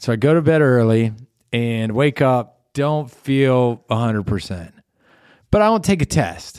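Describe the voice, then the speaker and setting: In a very clean recording with a silent background, a man of medium pitch speaks fairly slowly in a plain, everyday voice with an American accent and lively intonation. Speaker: podcast co-host. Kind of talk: casual chat. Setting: studio.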